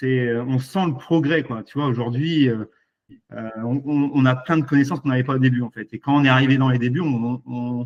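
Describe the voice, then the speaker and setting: A man speaks in an ordinary speaking voice at a medium pitch. His pace is moderate and his intonation fairly even. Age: 40s. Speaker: e-commerce entrepreneur, former fisherman. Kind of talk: casual interview.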